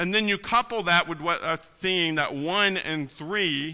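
A man speaks at a fairly slow pace in a bright, sharp tone. The background is quiet. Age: 40s. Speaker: pastor. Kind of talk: sermon.

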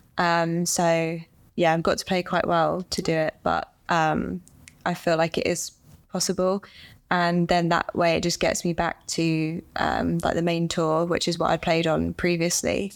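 In a very clean recording with a silent background, a woman with an English accent speaks fairly slowly at a fairly low pitch, with monotone, flat intonation and very even loudness. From England. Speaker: professional golfer. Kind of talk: casual chat.

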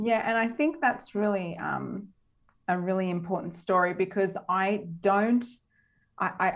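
In an Australian accent, a woman speaks at a moderate pace with ordinary pitch variation. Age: 30s. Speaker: dance studio owner and business coach. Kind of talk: interview.

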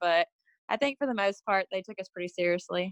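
Heard dry and close with no echo, a woman speaks with a Texas accent. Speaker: reality show contestant. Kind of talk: casual chat.

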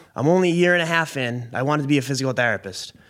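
A man with an American accent, very fast and fairly high-pitched, with ordinary pitch variation, in a very clean recording with a silent background. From Massachusetts (Billerica, near Boston). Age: 20s. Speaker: truck driver. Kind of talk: casual chat.

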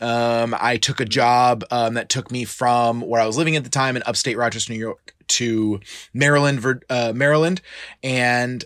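Medium pitch, moderate pace and fairly even intonation from a man with a bright, sharp tone. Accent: American. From Florida, Tampa Bay area. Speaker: fitness coach. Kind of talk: casual interview.

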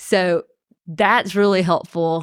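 A woman speaks with a Georgia accent. The recording is very clean, with a silent background and a dry, close sound with no echo. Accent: US Southern (Georgia). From Columbus, Georgia. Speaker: defense attorney. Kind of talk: casual interview.

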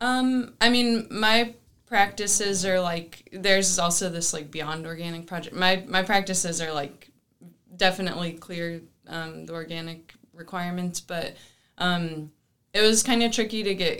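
A woman with an American accent and a bright, sharp tone speaks at a moderate pace and medium pitch, with ordinary pitch variation and big swings in loudness. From US South. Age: 20s. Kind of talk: casual interview. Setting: office studio. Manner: halting.

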